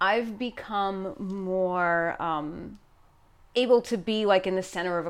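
On a very clean recording with a silent background, a woman with a New York accent speaks at a medium pitch with ordinary pitch variation. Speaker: podcast guest.

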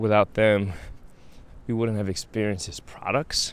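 A man's fairly low voice with an American accent, moderate pace and fairly even intonation. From Brooklyn, New York (Brownsville). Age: 30s. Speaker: podcaster. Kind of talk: casual monologue. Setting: outdoors, walking at night. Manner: halting, repeats words.

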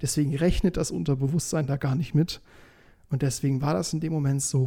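In a dark, mellow tone, a man speaks at a fairly high pitch, sounding somewhat breathy. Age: 20s. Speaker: podcast host. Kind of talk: casual monologue.

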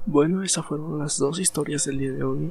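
With music in the background, a man speaks at a moderate pace, fairly high in pitch, with ordinary pitch variation. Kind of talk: ghost story narration, hushed bedtime storytelling read aloud to help listeners relax.

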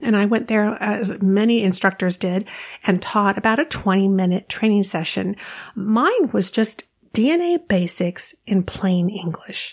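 Somewhat breathy and at a medium pitch, a woman speaks at a fairly slow pace with a warm, enthusiastic tone, ordinary pitch variation and very even loudness. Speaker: genealogy podcast host. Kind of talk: podcast episode with news and interview.

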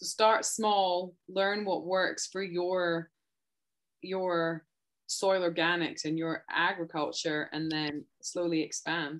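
Someone with a Scottish accent speaks at a very slow pace with fairly even intonation, on a very clean recording with a silent background. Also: woman, fairly low pitch for a woman. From Scotland. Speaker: podcast host and rancher. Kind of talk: casual interview.

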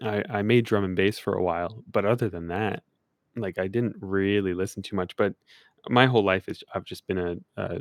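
An unremarkable speaking voice at a moderate pace with fairly even intonation, dry and close with no echo, on a very clean recording against a silent background. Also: man. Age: 20s. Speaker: podcast host and music producer. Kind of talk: casual interview chat.

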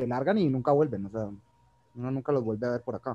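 A man's dark, mellow tone in a strong Colombian accent, with ordinary pitch variation. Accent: strong Cali. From Colombia, Cali. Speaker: medical professional and cinema entrepreneur. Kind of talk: casual chat.

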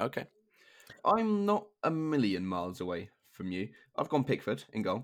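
With long, frequent pauses, a man in a southern English accent speaks on a very clean recording with a silent background. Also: moderate pace. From southern England (Hertfordshire). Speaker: football podcast host. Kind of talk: casual chat.

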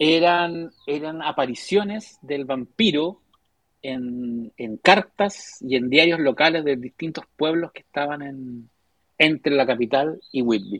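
A man with a Chilean accent speaks at a very slow pace in a fairly high pitch. His loudness swings widely while his pitch variation stays ordinary. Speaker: writer and graphic novelist. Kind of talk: casual chat. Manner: halting.

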